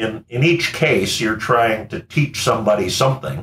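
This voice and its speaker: A man talks at a fairly slow pace. The room echo is audible, and there is light background noise. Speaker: engineering professor. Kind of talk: interview answer. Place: home room.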